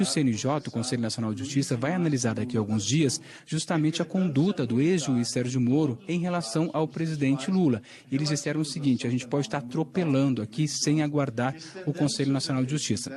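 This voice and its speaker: A quiet man with a fairly high pitch speaks at a very fast pace with very even loudness and ordinary pitch variation. His tone is somewhat breathy, dark and mellow. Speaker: TV news reporter. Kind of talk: live news report. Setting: inside court building during a trial. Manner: speaking quietly.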